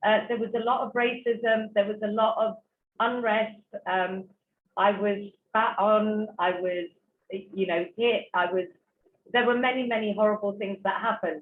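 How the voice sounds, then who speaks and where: A woman with a British accent speaks at a moderate pace in a fairly high voice, her intonation fairly even and her speech broken by long, frequent pauses. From England. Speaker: author and speaker. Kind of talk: talk to online audience. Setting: online virtual event. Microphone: poor internet connection.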